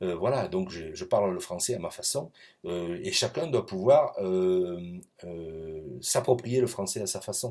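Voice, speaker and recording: A man speaks at a very slow pace in a fairly low voice with a dark, mellow tone. His intonation is lively, with big swings in loudness. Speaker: professor. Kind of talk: recorded lecture. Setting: pre-recorded video. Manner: hesitant, many fillers.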